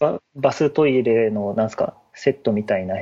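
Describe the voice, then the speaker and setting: Recorded in a dry, close sound with no echo, a man talks in a dark, mellow tone. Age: 30s. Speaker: web engineer. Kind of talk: casual chat.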